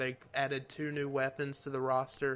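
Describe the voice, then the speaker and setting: A man with a Southern US accent and fairly high pitch. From US South. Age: 18. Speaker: YouTuber. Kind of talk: Q&A video. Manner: soft-spoken.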